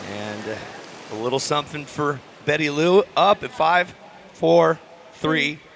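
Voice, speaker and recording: Over noticeable background noise, a man talks at a fairly slow pace with lively intonation and long, frequent pauses. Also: fairly high pitch for a man. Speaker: surf contest announcer. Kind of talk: live commentary.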